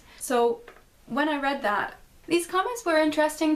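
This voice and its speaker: Here a woman is speaking. There is noticeable background noise. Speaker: video essayist vlogger. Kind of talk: analytical video essay monologue.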